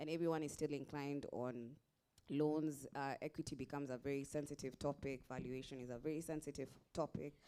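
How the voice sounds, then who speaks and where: A Kenyan accent at a fairly quick pace. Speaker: investor. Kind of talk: panel discussion.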